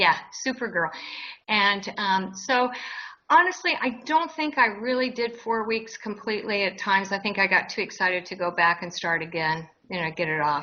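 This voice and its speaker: A woman talks at a moderate pace in a plain, everyday voice. Her pitch sits in the medium range. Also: lively intonation. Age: 60s. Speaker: interviewee sharing weight loss story. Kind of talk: interview.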